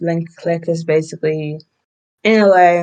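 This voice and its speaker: Speaking with a British accent, a woman's medium-pitched voice carries a dark, mellow tone and fairly even intonation. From UK. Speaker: anime podcaster. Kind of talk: casual solo podcast review. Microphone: poor audio quality, borrowed or substitute mic.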